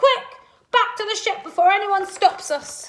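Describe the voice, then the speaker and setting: A put-on character voice from a woman, pitched extremely high, delivered at a moderate speed. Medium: read story.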